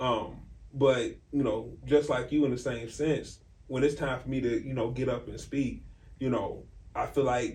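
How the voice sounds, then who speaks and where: Heard with audible room echo, a man speaks at a medium pitch with vocal fry, in a monotone, flat intonation at a fairly slow pace. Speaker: faith podcast co-host. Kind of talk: casual chat. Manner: loud.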